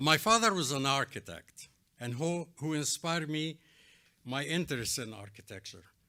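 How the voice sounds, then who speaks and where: This man has a fairly high pitch and a bright, sharp tone. He speaks with an Arabic accent and lively intonation. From Egypt. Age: 80s+. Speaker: architect, award honoree. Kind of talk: award acceptance speech.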